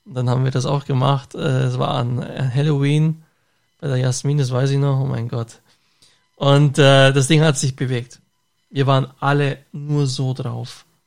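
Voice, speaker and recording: At a moderate pace, a man with a normal speaking voice talks at a fairly high pitch, his intonation fairly even. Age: 30s. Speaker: podcast host and bus driver. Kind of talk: casual chat.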